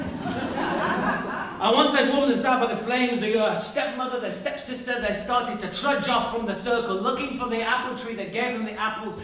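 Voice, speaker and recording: A man speaks in a raised, projected voice at an extremely high pitch and a moderate pace. Noticeable background noise is audible. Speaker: storyteller, narrator and musician. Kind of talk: live storytelling to an audience.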